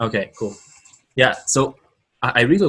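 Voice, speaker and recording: A man with a Brazilian Portuguese accent at a fairly quick pace. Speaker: entrepreneur, mastermind member. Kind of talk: casual group video call pitch. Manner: halting, repeats words.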